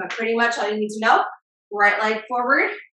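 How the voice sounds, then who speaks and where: An upbeat woman's voice with audible room echo. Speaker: fitness instructor. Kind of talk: live-led fitness class with countdowns and cues. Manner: upbeat, encouraging, motivating; rhythmic, brisk countdown cues. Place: home room.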